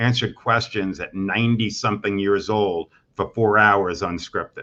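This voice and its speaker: A man speaks in a plain, everyday voice, fairly low in pitch, at a moderate pace with fairly even intonation. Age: 60s. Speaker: mortgage executive. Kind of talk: interview.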